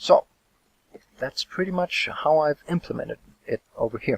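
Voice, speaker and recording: A man with a non-native accent at a fairly slow pace, in a dry, close sound with no echo. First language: not English. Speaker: gaming youtuber. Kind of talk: tutorial. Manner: hesitant, many fillers.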